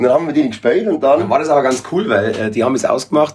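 A man with a Bavarian accent, somewhat breathy, at a very fast pace with lively intonation, on a very clean recording with a silent background. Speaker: reggae musician. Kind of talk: casual chat.

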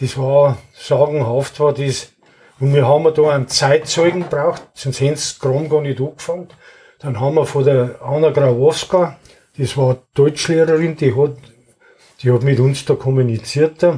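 A man's somewhat breathy, dark, mellow voice, fairly high in pitch, at a fairly slow pace with fairly even intonation. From Bavaria, Wartenberg. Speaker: retired carpenter and local musician. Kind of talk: reading own poem aloud; casual interview. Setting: club room in his home.

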